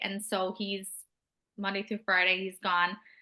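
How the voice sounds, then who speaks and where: A woman speaks in a bright, sharp tone with an American accent. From Minnesota, US. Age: 20s. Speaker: network marketer. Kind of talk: interview. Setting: call.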